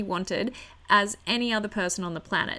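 The speaker has an animated tone and talks with an Australian accent. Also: woman. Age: 30s. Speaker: podcast host. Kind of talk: casual solo podcast monologue.

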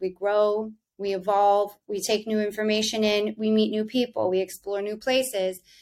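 A woman speaks with an American accent in an ordinary speaking voice. Her pitch is fairly high and her pace moderate. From US South. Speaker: wellness company founder. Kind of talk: casual interview.

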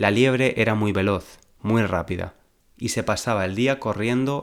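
A man speaks in an ordinary speaking voice, fairly low in pitch, at a fairly slow pace. His intonation is fairly even, and the recording is very clean with a silent background. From Valencia, Spain. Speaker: Spanish teacher, podcaster. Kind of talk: storytelling, reading a fable aloud; language-learning podcast for intermediate learners. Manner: slow, clear enunciation.

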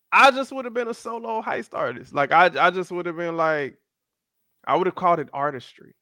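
In an American accent, a man with a high pitch and a bright, sharp tone talks at a moderate pace, his pitch swinging very widely. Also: very clean recording, silent background. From South Florida (Miami, Fort Lauderdale). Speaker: podcast co-host. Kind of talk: casual chat. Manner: animated.

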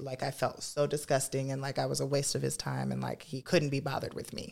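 A woman with an American accent. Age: 20s. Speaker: drag performer. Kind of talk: testimony.

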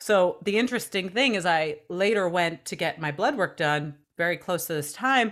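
At a moderate pace, a woman speaks in an unremarkable speaking voice with a fairly low pitch and ordinary pitch variation, in a very clean recording with a silent background. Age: 30s. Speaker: former TV news journalist, health and wellness expert. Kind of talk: casual chat.

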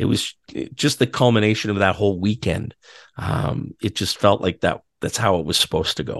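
Against a quiet background, a man speaks at a moderate pace with vocal fry, in a dry, close sound with no echo. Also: fairly low pitch for a man. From Ottawa, Canada. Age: 40s. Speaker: PA announcer. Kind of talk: casual chat.

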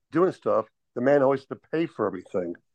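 Dry and close with no echo, a man's voice moves at a fairly quick pace. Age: 60s. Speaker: meetup participant seeking dating advice. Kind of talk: casual chat. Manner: halting.

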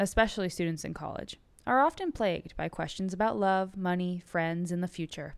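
A woman's unremarkable speaking voice at medium pitch and a fairly quick pace, in a very clean recording with a silent background. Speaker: podcast intro presenter. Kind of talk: scripted intro and outro narration.

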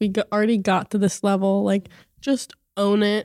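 A woman with an American accent speaks at a moderate pace in a medium pitch, her dark, mellow tone captured in a dry, close sound with no echo. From Philadelphia area, US. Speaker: college softball player. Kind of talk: casual interview.

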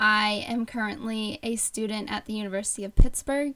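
A woman with an American accent talks at a moderate pace in a fairly high pitch. She has an unremarkable speaking voice with fairly even intonation. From Bucks County, Pennsylvania. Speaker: podcast co-host, student. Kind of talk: casual chat. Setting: remote recording.

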